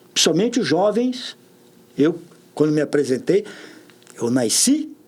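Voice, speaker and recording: A moderate pace with very wide pitch swings. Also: man. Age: 60s. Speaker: public official. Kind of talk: podcast interview.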